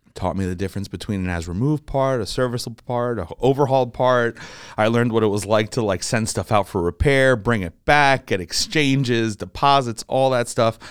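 A man with an American accent, a medium pitch, and ordinary pitch variation at a fairly quick pace, a normal speaking voice in a very clean, dry, close recording with a silent background and no echo. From New Jersey. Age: 20s. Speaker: aviation parts dealer. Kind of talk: casual interview.

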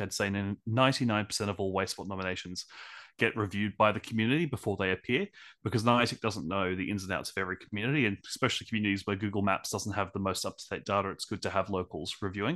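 A man with an Australian accent speaks very fast in a fairly low voice. His tone is bright and sharp, and the background is quiet. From Australia, Brisbane. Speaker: podcast host, guest. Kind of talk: interview.

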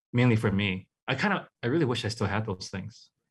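A man with a Hawaiian accent speaks at a fairly quick pace. His voice is fairly low in pitch and somewhat breathy. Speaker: artist. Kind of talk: casual interview. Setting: video call.

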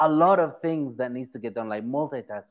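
The speaker has an animated tone against a quiet background. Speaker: podcast host. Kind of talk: interview.

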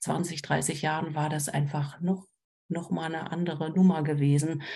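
A woman speaks in a very deep, low pitch. Her voice is somewhat breathy, with a dark, mellow tone. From Berlin. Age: 40s. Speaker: trauma counselor and social worker. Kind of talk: casual chat.

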